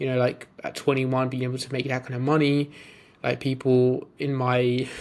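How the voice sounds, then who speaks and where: A man with a British accent speaks at a medium pitch and a moderate pace in a monotone, flat intonation, on a very clean recording with a silent background. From UK (moved from Bulgaria at seven). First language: Bulgarian. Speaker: fitness business coach. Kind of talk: personal story to camera. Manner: hesitant, many fillers and repeats.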